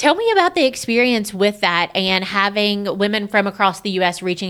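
In a normal speaking voice, a woman talks at medium pitch with ordinary pitch variation on a very clean recording with a silent background. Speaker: podcast host and wedding vendor. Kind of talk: casual interview chat.

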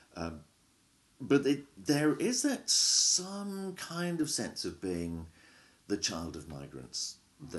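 The man talks very slowly over a quiet background. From England. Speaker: professor. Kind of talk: academic interview.

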